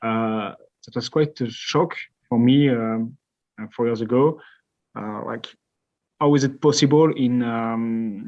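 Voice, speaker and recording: Against a quiet background, a man of medium pitch speaks in a French accent at a fairly slow pace with long, frequent pauses. His intonation stays fairly even while his loudness swings widely. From France. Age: 20s. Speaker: company co-founder. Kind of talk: podcast interview.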